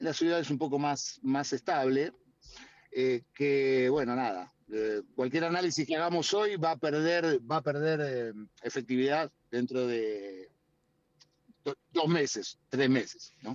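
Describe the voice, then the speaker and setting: A man's fairly high voice, ordinary in its pitch variation, at a very slow pace. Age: 60s. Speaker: politician. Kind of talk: interview. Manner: hesitant, many fillers. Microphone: choppy connection.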